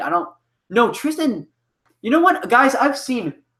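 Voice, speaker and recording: A man's raised, projected voice with a bright, sharp tone at a fairly quick pace. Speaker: web series creator. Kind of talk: live stream Q&A. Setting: live stream. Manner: halting. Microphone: echo.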